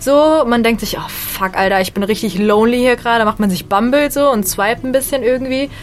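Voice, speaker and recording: At a fairly quick pace with hardly any pauses and ordinary pitch variation, the speech sits over noticeable background noise. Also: woman, fairly high pitch for a woman. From western Germany, Bonn. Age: 20s. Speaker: stand-up comedian. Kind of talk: casual radio interview.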